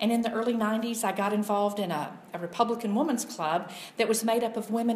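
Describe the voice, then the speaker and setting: A woman's fairly high voice is heard with noticeable background noise around it. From Louisiana. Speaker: political commentator. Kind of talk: casual chat. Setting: backyard guest house.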